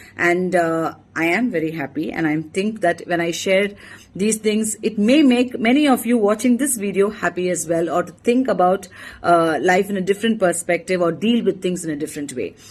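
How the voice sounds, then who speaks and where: In a Tamil accent, a woman with a medium pitch speaks at a moderate pace. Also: lively intonation. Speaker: emergency physician. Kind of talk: motivational talk.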